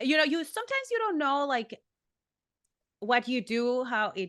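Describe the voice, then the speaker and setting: Dry and close with no echo, a woman's bright, sharp tone carries lively intonation at a moderate pace. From Mexico. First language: Spanish. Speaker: professional wrestler. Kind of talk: interview.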